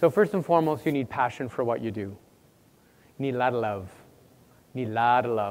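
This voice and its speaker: Talking at a fairly quick pace, a man speaks with a Canadian accent. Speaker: university administrator, workshop presenter. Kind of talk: conference workshop talk. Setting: conference room with audience. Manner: fast; loud.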